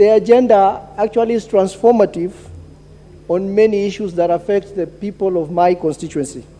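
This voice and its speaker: A man's high-pitched voice with ordinary pitch variation over noticeable background noise. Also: moderate pace. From northern Kenya, Mandera County. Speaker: member of parliament. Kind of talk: parliamentary speech. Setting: national assembly chamber. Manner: halting, many fillers and repetitions.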